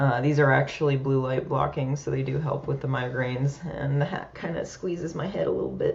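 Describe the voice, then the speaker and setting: The speech runs at a fairly quick pace with hardly any pauses over noticeable background noise. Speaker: peer support podcast host. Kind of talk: personal vlog monologue. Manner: soft-spoken, quieter than usual; hesitant, many fillers.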